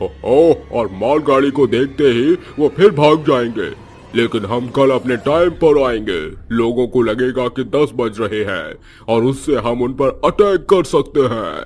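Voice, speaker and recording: Using a cartoonish character voice at a medium pitch, a man speaks at a fairly slow pace. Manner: commanding, impatient.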